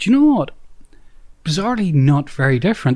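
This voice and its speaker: In an Irish accent, a man speaks at a moderate pace, his somewhat breathy voice making very wide pitch swings. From Northern Ireland. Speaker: author and local historian. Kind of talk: interview. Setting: hotel by the golf course. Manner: halting with many fillers.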